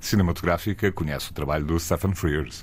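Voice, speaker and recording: This man speaks in a very deep, low pitch with ordinary pitch variation. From northern Portugal, Porto. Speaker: podcast host. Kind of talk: casual chat.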